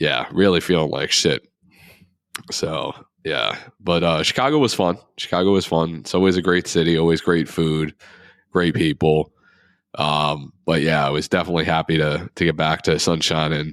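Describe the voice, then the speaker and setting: With long, frequent pauses and fairly even intonation, the speaker keeps a moderate pace in a very clean recording with a silent background. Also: man, very deep, low pitch for a man. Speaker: podcast co-host. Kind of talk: casual chat.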